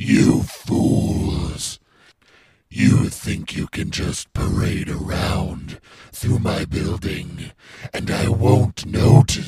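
A raspy man's voice at medium pitch moves along at a very slow pace. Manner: menacing then defensive.

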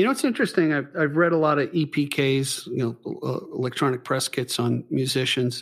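This is an ordinary speaking voice from a man, pitched fairly high. He keeps a moderate pace with ordinary pitch variation. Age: 60s. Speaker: podcast host. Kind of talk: interview.

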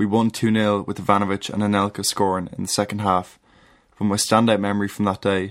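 A man speaks in a Dublin accent at a fairly quick pace with monotone, flat intonation. The recording is very clean, with a silent background. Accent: Dublin Irish. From Ireland, Dublin. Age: 20s. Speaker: listener contributor. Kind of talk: reading aloud.

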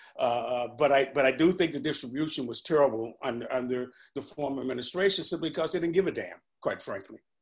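At a very fast pace, a man with an American accent talks in a fairly high pitch with ordinary pitch variation. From St. Louis, US Midwest. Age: 60s. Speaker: retired pension fund manager. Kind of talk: casual interview.

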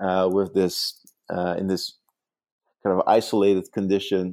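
Fairly low male voice with a Dutch accent, moderate pace, and a very clean recording over a silent background. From Netherlands. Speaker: urban design professor and author. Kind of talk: interview. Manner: halting, frequent repetitions.

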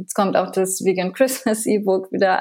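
Her intonation is monotone and flat. The woman's pitch sits at a medium level. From France. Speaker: TV chef and food blogger. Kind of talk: interview.

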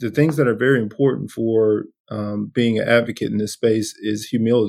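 Here a man speaks in a Southern US accent at a medium pitch. His pace is moderate. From US South, coastal Georgia. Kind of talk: casual interview.

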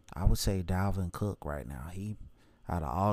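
With an American accent, a man speaks in a very deep, low voice. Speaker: podcast host, fan. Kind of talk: solo opinion podcast monologue. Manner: monotone, low energy; casual, rambling with filler words.

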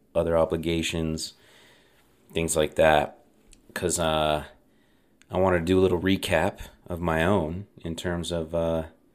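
In a very clean recording with a silent background, a man speaks in a monotone, flat way with a very deep, low pitch. His pace is fairly slow, broken by long, frequent pauses. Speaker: podcast host. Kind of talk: solo podcast monologue. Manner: casual, filler-heavy.

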